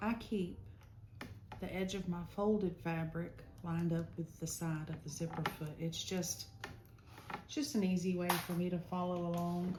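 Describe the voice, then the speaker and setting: A soft-spoken woman with a fairly low voice talks at a moderate pace, her intonation fairly even, with long pauses coming often. Room echo is audible, and background noise is noticeable. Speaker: sewing instructor. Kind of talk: tutorial.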